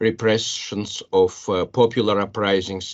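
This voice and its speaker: A man with a Russian accent speaks at a fairly low pitch. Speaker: biology professor. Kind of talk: panel discussion. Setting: panel with audience. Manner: halting.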